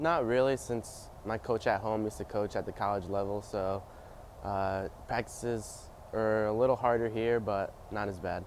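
A man speaks with an American accent at a moderate pace and a fairly low pitch. His intonation is fairly even, and the sound is dry with no echo and light background noise. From upstate New York (Amsterdam, NY). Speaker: college swimmer. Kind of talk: interview answers. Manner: hesitant with fillers. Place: hall.

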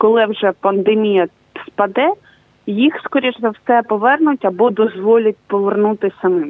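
At a fairly slow pace, a woman speaks in a fairly high pitch with ordinary pitch variation and very even loudness. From southern Ukraine. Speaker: journalist, news editor. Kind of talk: live remote interview. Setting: remote live link. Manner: halting, many fillers.

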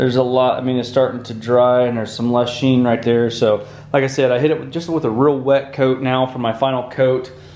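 With hardly any pauses, the speech stays monotone and flat amid audible room echo. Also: man. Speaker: DIY shop vlogger. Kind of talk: casual vlog chat. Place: workshop. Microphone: phone near.

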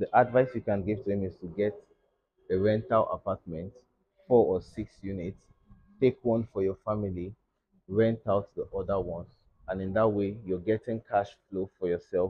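A man's fairly low, somewhat breathy voice with fairly even intonation and long, frequent pauses. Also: moderate pace. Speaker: guest. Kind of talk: interview answer. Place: studio.

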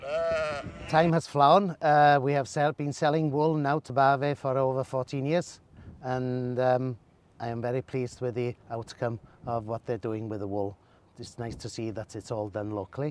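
A man with a Welsh accent speaks at a moderate pace, in a medium pitch with ordinary pitch variation. There is light background noise and the sound is dry with no echo. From north Wales, Llŷn Peninsula; north Wales. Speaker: sheep breeder. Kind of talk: casual interview. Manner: halting. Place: car. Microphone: phone near.

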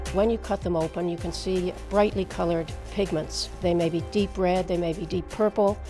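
Clear music plays behind a woman's voice. She speaks at a fairly quick pace. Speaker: agricultural scientist. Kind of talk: interview answer. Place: studio.

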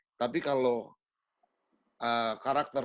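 In a quiet background, a man talks at a moderate pace. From Papua, Indonesia; Indonesia. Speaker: singer-songwriter; guest. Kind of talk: casual chat. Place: home room. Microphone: video call.

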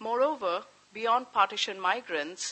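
The pace is moderate. The speaker is a woman. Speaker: history professor. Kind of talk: lecture. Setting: lecture hall with live audience. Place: hall. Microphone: podium.

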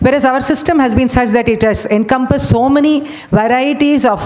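Fairly quick pace from a woman, ordinary pitch variation throughout. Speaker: conference presenter. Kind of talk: lecture. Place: hall. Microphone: podium.

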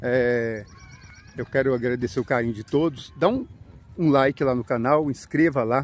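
The speech comes at a moderate pace, with a dry sound and no echo. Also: man. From Brazil, São Paulo region. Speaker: YouTuber. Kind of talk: vlog narration. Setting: outdoors in a park. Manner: casual, chatty. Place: open country. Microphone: phone near.

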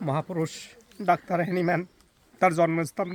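A man is speaking with noticeable background noise. The sound is dry and close, with no echo. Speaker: homeopathic doctor. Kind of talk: casual chat.

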